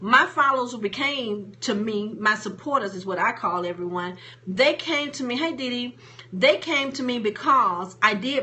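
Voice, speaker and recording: Over noticeable background noise, a woman speaks at a moderate pace with lively intonation. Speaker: motivational speaker and coach. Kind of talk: live stream talk. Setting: live stream on Facebook and Periscope. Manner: casual, plain-spoken.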